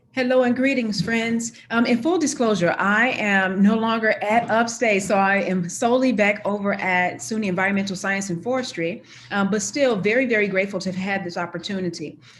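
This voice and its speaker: A woman speaks at a medium pitch and a fairly quick pace, with hardly any pauses. Her pitch variation is ordinary, and audible room echo is present. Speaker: university chief diversity officer. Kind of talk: conference presentation. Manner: fast.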